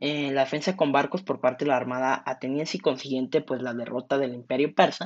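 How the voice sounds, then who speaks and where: Someone with a Mexican accent talks at a fairly quick pace with hardly any pauses. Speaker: podcast host. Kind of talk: casual storytelling monologue. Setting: at home during quarantine.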